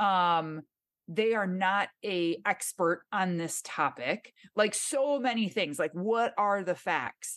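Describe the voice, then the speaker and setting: A woman with a Michigan accent, medium pitch and lively intonation, at a very slow pace against a quiet background. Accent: Michigan, nasal. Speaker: fitness trainer and podcast host. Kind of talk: interview.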